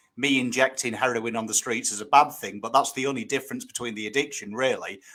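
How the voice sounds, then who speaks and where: The voice has a northern English accent and a bright, sharp tone. The recording is very clean, with a silent background. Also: man. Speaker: guest, recovering addict. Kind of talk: casual chat.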